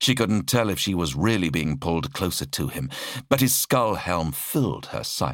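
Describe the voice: This is plain reading aloud delivered with lively intonation.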